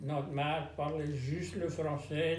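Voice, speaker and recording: A man speaks with a Louisiana accent. His pitch sits fairly high, and his pace is very slow. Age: 80s+. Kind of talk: interview answer.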